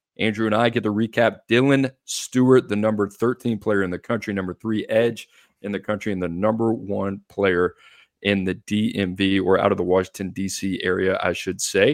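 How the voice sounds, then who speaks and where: A man with a normal speaking voice and fairly low pitch talks at a moderate pace with fairly even intonation, in a dry, close sound with no echo and a very clean recording over a silent background. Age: 30s. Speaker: recruiting analyst podcast host. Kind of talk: casual sports chat.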